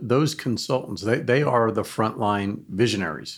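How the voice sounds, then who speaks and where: In a very clean recording with a silent background, a man with a fairly low pitch uses ordinary pitch variation in a normal speaking voice. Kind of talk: casual chat. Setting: studio.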